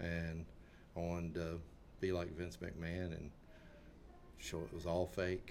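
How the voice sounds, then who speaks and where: Against audible room echo, a man speaks with a very deep, low pitch in a monotone, flat intonation at a fairly slow pace, leaving long, frequent pauses. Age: 50s. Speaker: political commentator. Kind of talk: casual chat.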